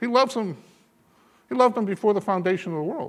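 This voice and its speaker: A man speaks with a high pitch and lively intonation. The recording is very clean, with a silent background. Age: 70s. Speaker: bishop preaching. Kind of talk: sermon. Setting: church.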